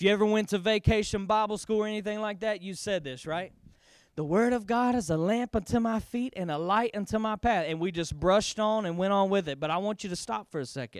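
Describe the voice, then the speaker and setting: The speech moves at a very fast pace with ordinary pitch variation. The recording is very clean, with a silent background. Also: man, high pitch for a man. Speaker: pastor. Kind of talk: sermon. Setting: church with congregation. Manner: animated, emphatic preacher with call-and-response; repeats key lines for emphasis, bold and urgent.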